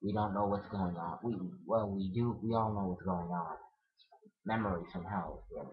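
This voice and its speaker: Fairly low-pitched male voice with audible room echo. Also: fairly even intonation, moderate pace. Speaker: vlogger. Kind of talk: casual chat.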